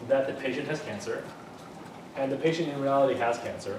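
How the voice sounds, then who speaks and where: A man is speaking with noticeable background noise. Room echo is audible too. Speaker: university lecturer. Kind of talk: lecture. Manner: fast; halting, many fillers and restarts.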